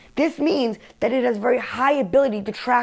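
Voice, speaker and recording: A woman has an ordinary speaking voice with ordinary pitch variation. She talks at a moderate pace. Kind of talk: mock infomercial for a class chemistry project. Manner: upbeat sales pitch.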